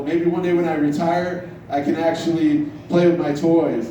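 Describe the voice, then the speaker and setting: A high-pitched male voice at a fairly slow pace, with audible room echo and noticeable background noise. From Iran. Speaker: stand-up comedian. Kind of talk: stand-up. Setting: bar stage with audience.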